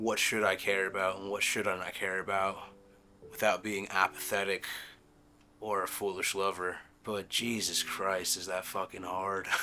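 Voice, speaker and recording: Over music in the background, a man speaks at a moderate pace in a monotone, flat intonation. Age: 20s. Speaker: tattoo artist and musician. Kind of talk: introspective interview answer. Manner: halting; reflective.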